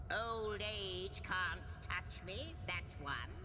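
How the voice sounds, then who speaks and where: A female-sounding, put-on character voice speaks at a very slow pace over loud background noise. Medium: game stream. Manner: wordy, playful, a bit fussy.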